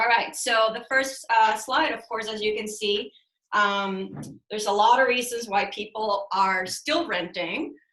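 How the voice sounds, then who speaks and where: An ordinary speaking voice proceeds at a fairly slow pace with ordinary pitch variation. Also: woman, fairly high pitch for a woman. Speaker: real estate broker. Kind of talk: webinar presentation. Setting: video call.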